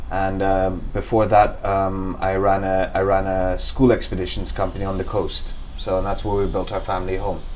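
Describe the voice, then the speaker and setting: Through noticeable background noise and audible room echo, a man talks at a moderate pace with hardly any pauses. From Kenya, western, near Lake Victoria. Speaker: environmental project founder. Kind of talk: interview. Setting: at his home. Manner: hesitant, many repetitions and fillers.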